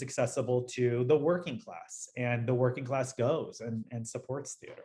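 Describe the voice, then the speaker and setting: Somewhat breathy and medium-pitched, a man with an American accent talks at a moderate pace with ordinary pitch variation. The recording is very clean, the background silent. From Los Angeles, US. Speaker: dancer and dance educator. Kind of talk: interview conversation. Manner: animated.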